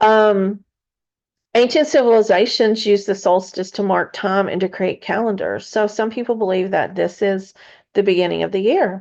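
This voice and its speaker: Over a quiet background, a woman with a Kentucky accent speaks at a moderate pace with fairly even intonation. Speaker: spiritual podcast host. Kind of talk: casual spiritual teaching. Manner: halting, many fillers.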